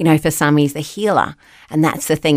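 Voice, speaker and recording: Speaking very fast, a woman with an Australian accent has a very deep, low pitch. The recording is very clean, with a silent background. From New Zealand (Wellington), raised in Australia. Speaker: ministry leader and college lecturer. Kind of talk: casual interview chat.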